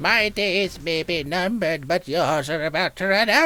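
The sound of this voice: Set at a middle pitch, a put-on character voice moves along at a moderate pace.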